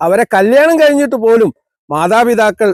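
The sound is dry and close, with no echo. A man speaks at a high pitch with ordinary pitch variation. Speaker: counselling psychologist. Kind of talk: motivational talk.

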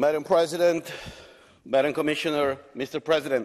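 A man with a Romanian accent at a fairly quick pace, against a quiet background. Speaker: member of parliament. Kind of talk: parliament speech. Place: hall. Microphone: podium.

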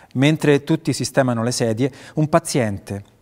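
A man with lively intonation at a moderate pace against a quiet background. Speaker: actor and voice actor (dubbing). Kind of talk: dramatic reading of a short film screenplay. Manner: narrating, neutral. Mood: calm noir narration. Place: stage.

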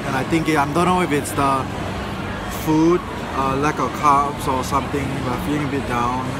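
Through loud background noise, a man speaks at a moderate pace with ordinary pitch variation, in a dry sound with no echo. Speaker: vlogger. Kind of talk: casual vlog chat. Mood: a bit down. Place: market. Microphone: phone near.

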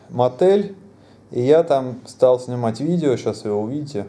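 A man is speaking. His pace is fairly slow. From Russia. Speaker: travel vlogger. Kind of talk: casual travel vlog monologue. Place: home room. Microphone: phone near.

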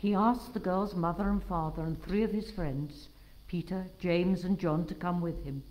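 Plain reading aloud, the pitch varying in an ordinary way

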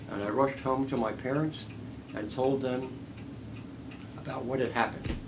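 A man with a Philadelphia accent speaks at a moderate pace in a flat monotone, leaving long, frequent pauses over noticeable background noise. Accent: Philadelphia American. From US Northeast, West Philadelphia; Pennsylvania. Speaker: war veteran. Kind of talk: oral history interview. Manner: halting. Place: home room.

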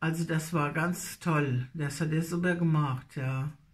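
A woman speaks in a Hessian accent with ordinary pitch variation. Her voice is somewhat breathy. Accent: Nassau Hessian dialect. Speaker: dialect storyteller. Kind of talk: casual talk to camera. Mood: nostalgic, warm. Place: home room. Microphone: phone near.

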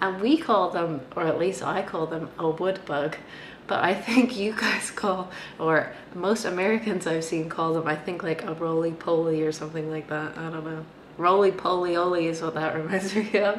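A woman with a Canadian accent speaks at a fairly low pitch and a moderate pace, her intonation fairly even, with audible room echo and light background noise. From Canada; Vancouver. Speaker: vlogger. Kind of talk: casual talk to camera. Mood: relaxed, amused. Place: home room. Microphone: webcam.

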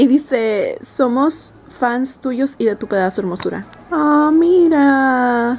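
A woman speaks in a high voice over music in the background. Her pitch varies in an ordinary way. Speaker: beauty vlogger. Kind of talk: casual vlog chat. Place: home room.

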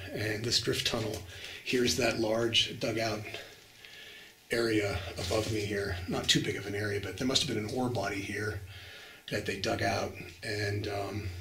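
Fairly low male voice at a moderate pace, fairly even in intonation, with audible room echo and light background noise. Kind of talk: casual vlog commentary. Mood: calm, slightly wary of bats. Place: tunnel cave. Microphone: phone near.

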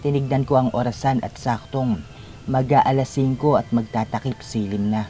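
An unforced reading voice carries the whole clip.

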